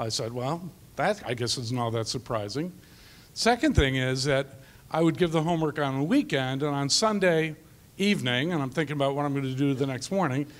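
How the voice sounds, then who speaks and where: In an ordinary speaking voice, a man talks at a fairly quick pace with a fairly high pitch and ordinary pitch variation. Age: 60s. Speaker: math teacher. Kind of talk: panel discussion.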